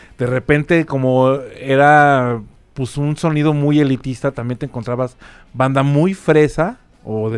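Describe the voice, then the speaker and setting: A man speaks with a Mexico City accent at a fairly slow pace. His pitch is medium, with ordinary variation. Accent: Mexico City Spanish (chilango). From Mexico City (colonia Nápoles). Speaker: rock musician. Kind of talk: casual chat. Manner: animated.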